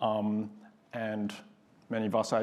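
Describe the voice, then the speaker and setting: This is a man talking. His pitch is fairly low. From Australia. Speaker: aerospace engineer, panelist. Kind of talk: panel discussion.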